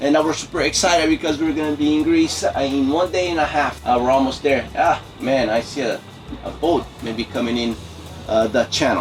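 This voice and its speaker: With music in the background, a man speaks at a moderate pace in a fairly high pitch with ordinary pitch variation. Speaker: liveaboard sailor. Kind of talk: casual vlog talk to camera.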